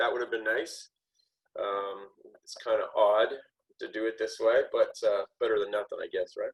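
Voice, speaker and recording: At a moderate pace, a man talks in a Canadian accent. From southwestern Ontario, Canada. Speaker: author. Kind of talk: casual chat. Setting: video call from his kitchen.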